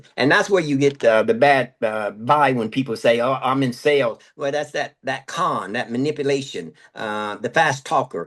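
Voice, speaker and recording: A man with an unremarkable speaking voice and a fairly high pitch speaks at a moderate pace. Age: 60s. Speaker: motivational speaker and sales trainer. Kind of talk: podcast interview.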